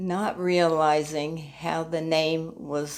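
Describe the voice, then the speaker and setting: In an American accent, a woman talks very slowly with a very deep, low pitch. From US Northeast, New Jersey. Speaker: church member. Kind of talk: interview. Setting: at her apartment. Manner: halting.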